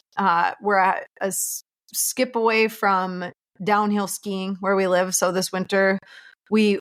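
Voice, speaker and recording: The recording is very clean, with a silent background and a dry, close sound with no echo. A woman speaks very slowly at a medium pitch in a monotone, flat way. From Minnesota, small town near Duluth. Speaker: realtor. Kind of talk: casual chat.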